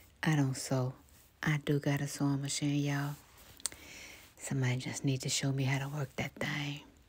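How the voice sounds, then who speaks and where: A woman speaks soft-spoken and somewhat breathy at a moderate pace. Her pitch is very deep and low. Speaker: ASMR YouTuber. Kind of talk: soft-spoken voiceover store walkthrough. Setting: recorded voiceover in studio/home. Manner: casual, with filler words and laughs.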